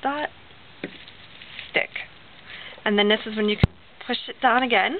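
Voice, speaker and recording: Fairly high speech from a woman with ordinary pitch variation, noticeable background noise underneath. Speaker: crafter. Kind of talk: tutorial. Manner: casual, hesitant with fillers; fast.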